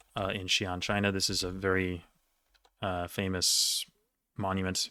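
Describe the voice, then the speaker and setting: On a very clean recording with a silent background, a man speaks in a fairly low pitch with a bright, sharp tone. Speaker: quiz league player and video creator. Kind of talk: casual solo commentary while answering quiz questions. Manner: fast, flowing today; usually stutters, little today.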